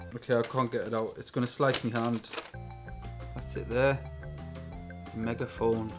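Clear music plays in the background as a man speaks at a moderate pace with fairly even intonation and long, frequent pauses. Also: medium pitch for a man. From England. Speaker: YouTube gadget reviewer. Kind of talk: product review. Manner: quiet, mumbling. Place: home room. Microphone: camera far.

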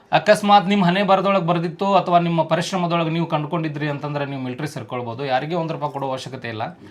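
A man with a fairly high pitch and ordinary pitch variation speaks over noticeable background noise. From India, north Karnataka (Bilagi, Bagalkot). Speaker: army clerk. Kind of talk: interview. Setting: at home.

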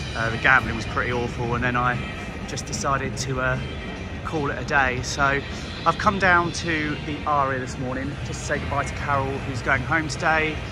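Clear music plays in the background as a man speaks. His moderate pace comes through a dry sound with no echo. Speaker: vlogger. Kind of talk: casual vlog chat. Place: street. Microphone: phone near.

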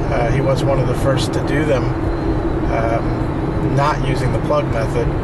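A man speaks at a moderate pace while loud noise fills the background. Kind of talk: casual vlog chat. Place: car. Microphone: camera far.

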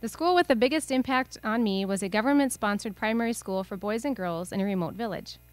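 A woman talks at a very fast pace, the sound dry with no echo. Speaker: presenter. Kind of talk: narrated presentation talk. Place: hall.

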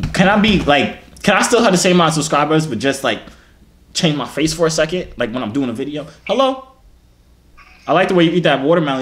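The delivery is very fast, with an animated tone. The intonation is lively. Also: man. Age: 20s. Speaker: YouTuber. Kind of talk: casual chat. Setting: video call. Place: gym. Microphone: phone near.

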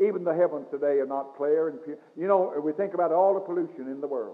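A man's voice with very wide pitch swings at a fairly quick pace, over a quiet background. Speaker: Baptist pastor. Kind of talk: church sermon. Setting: recorded in a church, old cassette tape. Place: church. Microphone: old recording.

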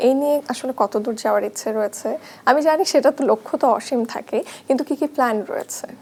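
Noticeable background noise accompanies a woman with a high pitch and ordinary pitch variation. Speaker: TV entertainment show host. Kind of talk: interview. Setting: studio.

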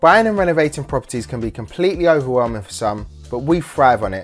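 With music playing behind him, a man talks at a fairly quick pace using lively intonation. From London. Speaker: property developer and DIY expert. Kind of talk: presenter showreel, talk to camera.

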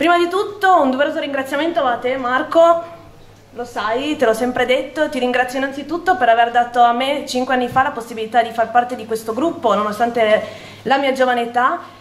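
With audible room echo, a woman talks at a fairly quick pace with a high pitch and ordinary pitch variation. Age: 20s. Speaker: town councillor. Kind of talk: campaign speech. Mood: grateful, earnest. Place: hall. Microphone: podium.

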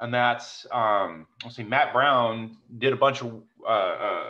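Against a quiet background, a man talks at a very slow pace in a bright, sharp tone. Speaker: meeting host. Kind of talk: casual technical discussion. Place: home room. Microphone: video call.

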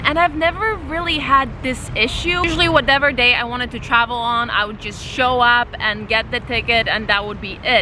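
Over noticeable background noise, a woman with a high pitch talks at a fairly quick pace in a dry sound with no echo. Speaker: travel vlogger. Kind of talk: casual vlog chat. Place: waterside. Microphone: phone near.

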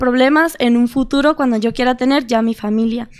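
At a fairly quick pace, a woman with a high pitch and ordinary pitch variation speaks on a very clean recording with a silent background. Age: young. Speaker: social media content creator. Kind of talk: casual chat.

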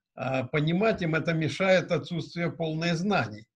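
A man talks very slowly in a fairly high voice. The background is quiet. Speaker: car service business representative; conference presenter. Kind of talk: discussion remarks. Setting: video call. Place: office. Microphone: webcam.

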